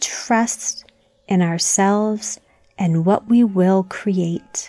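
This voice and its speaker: At a very slow pace, the voice carries a calm, soothing tone in a dry, close sound with no echo. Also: woman. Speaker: meditation guide for children. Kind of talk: guided meditation. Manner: slow, calm, soothing, gently paced with long pauses.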